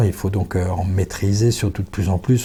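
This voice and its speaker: Somewhat breathy and dark, mellow in tone, this voice keeps a fairly even intonation at a moderate pace over a very clean recording with a silent background. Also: man. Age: 60s. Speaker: business founder and executive. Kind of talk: podcast interview. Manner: formal.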